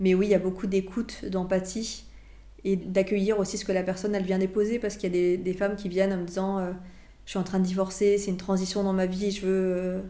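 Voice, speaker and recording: In a room with audible echo, a woman speaks at a fairly quick pace in a medium pitch, her tone dark and mellow and her intonation monotone and flat. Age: 40s. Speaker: portrait photographer. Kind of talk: interview. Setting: photo studio.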